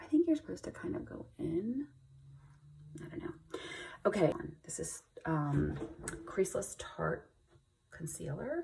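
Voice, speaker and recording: Pausing long and often, a woman talks at a fairly slow pace with big swings in loudness. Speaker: beauty vlogger and cancer patient. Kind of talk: get ready with me tutorial. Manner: casual, hesitant; whispering at times.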